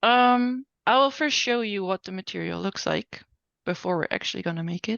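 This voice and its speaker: A normal speaking voice from a woman, medium in pitch, with ordinary pitch variation and a moderate pace. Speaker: software instructor. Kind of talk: online class tutorial. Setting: video call.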